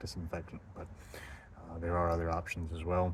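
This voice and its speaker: A man with an American accent speaks at a fairly quick pace. His pitch is very deep and low, and his voice is somewhat breathy. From United States. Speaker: travel vlogger. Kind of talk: casual monologue vlog. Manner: hesitant, many fillers.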